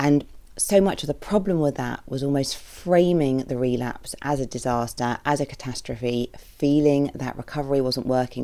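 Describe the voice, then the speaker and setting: A woman with a British accent talks at a moderate pace. Her voice is very deep and low, with a dark, mellow tone. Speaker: therapist podcast host. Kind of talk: podcast monologue.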